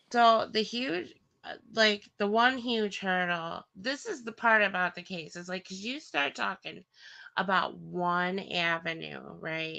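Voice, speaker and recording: Speaking very slowly with a Wisconsin accent, a woman shows ordinary pitch variation and big swings in loudness against a quiet background. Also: medium pitch for a woman. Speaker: livestream co-host. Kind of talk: casual chat.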